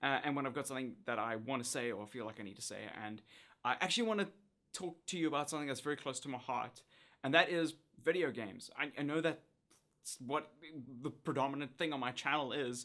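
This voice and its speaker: Talking at a very fast pace with long, frequent pauses, a man uses a fairly high pitch and ordinary pitch variation. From South Africa. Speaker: YouTuber, former TV presenter. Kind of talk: casual talk to camera.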